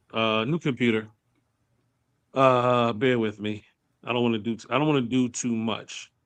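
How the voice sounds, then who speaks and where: A man talks at a moderate pace with long, frequent pauses. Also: medium pitch for a man, fairly even intonation. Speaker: podcast host. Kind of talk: casual chat. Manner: loud. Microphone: sound cutting in and out, internet connection.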